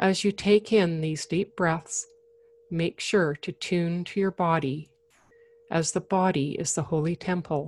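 An unremarkable speaking voice from a woman, fairly low in pitch, fairly slow, with fairly even intonation and a dry, close sound with no echo. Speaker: podcast host and meditation guide. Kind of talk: guided meditation; casual solo talk. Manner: soothing, slow and gentle; calm, reassuring.

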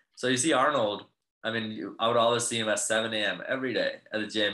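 This man has a plain, everyday voice with an American accent and medium pitch. His intonation is lively and his pace fairly quick. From US Midwest. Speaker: fitness coach. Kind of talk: casual interview.

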